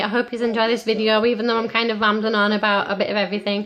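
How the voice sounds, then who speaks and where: Her voice is fairly high and flat, in a monotone. Noticeable background noise sits behind this woman. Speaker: vlogger. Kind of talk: casual vlog chat. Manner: rambling, repetitive.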